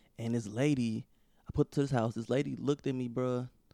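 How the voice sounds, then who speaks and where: Speaking fairly quickly with an American accent, a man has a medium pitch, a dark, mellow tone and fairly even intonation. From St. Louis, Missouri. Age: 20s. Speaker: stand-up comedian. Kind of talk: casual chat.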